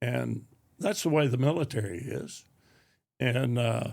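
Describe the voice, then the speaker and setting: A man speaks very slowly with an East Tennessee accent. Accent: Southern US, East Tennessee. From Anderson County, Tennessee. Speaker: retired Army officer and educator. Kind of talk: interview answer.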